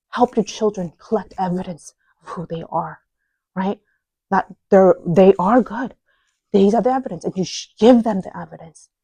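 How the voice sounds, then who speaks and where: This woman's voice has a dark, mellow tone, medium pitch and a somewhat breathy quality, with ordinary pitch variation. She talks at a moderate pace, and the sound is dry and close with no echo. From South Korea and US (moved at 8, back at 15). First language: Korean. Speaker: parenting speaker. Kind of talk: talk to a live audience. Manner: casual, conversational.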